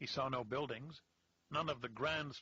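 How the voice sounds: This is a natural reading voice. It reads the text as written.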